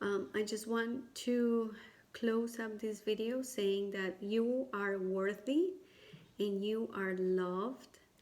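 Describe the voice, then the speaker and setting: Using a non-native accent, a woman with a fairly high pitch speaks very slowly and with fairly even intonation. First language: not English. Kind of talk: personal testimony and advice to camera. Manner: hesitant, many fillers.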